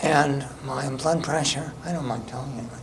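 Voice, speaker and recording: A man with an American accent speaks fairly slowly in a fairly high voice with fairly even intonation. The recording has audible room echo and noticeable background noise. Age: 70s. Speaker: resident speaking at public comment. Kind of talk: public comment at town meeting. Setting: public town board meeting.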